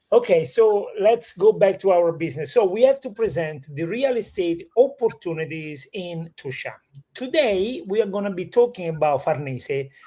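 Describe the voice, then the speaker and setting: The speaker has an Italian accent and talks at a moderate pace. There are hardly any pauses. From Italy. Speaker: real estate show host. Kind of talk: live stream conversation.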